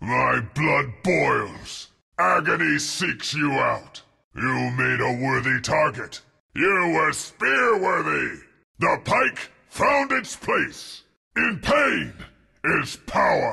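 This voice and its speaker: A man puts on a raspy character voice and drags his words out at a very slow pace. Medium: dub. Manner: intense, solemn.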